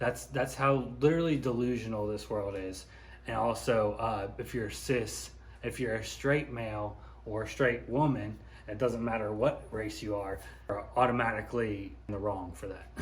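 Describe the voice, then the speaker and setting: A mumbling man at a moderate pace, with audible room echo. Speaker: YouTuber, commentary vlogger. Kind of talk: casual commentary monologue. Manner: mumbly.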